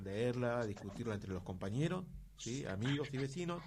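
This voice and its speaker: A man at medium pitch talks at a moderate pace with a somewhat breathy voice. Audible room echo is present. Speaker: radio host. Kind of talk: radio interview.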